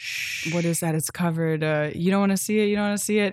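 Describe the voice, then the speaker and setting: A woman speaks in an ordinary speaking voice with an American accent, fairly low in pitch and with fairly even intonation. The recording is very clean, with a silent background. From United States. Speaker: podcast co-host. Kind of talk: casual chat.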